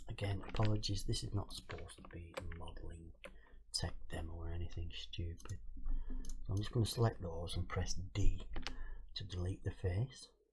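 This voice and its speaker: Someone mumbles quietly at a moderate pace. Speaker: game modding tutorial streamer. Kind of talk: tutorial. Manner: mumbling. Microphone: cheap mic with noise filter, keyboard audible.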